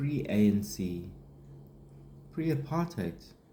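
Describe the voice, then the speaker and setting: Lively intonation in a somewhat breathy male voice of dark, mellow tone. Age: 40s. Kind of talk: casual unscripted talk to camera. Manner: rambling, hesitant.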